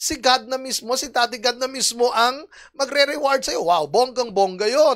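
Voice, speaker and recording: A woman speaks at a high pitch with lively intonation. The background is quiet. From Philippines. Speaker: preacher. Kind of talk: sermon, Bible teaching. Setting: online church service video. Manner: earnest, explanatory, teacherly. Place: stage. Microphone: handheld.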